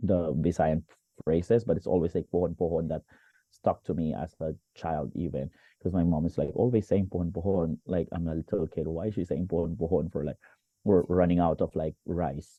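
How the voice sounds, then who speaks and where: A man with a Filipino accent, very deep and low in pitch, fairly quick and fairly even in intonation. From Philippines, Valenzuela (Metro Manila). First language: Tagalog. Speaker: teacher and motivational speaker. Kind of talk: interview.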